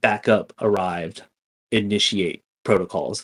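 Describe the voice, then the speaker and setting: Using a put-on character voice, a man talks at a fairly slow pace and a fairly low pitch. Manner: eerie, commanding.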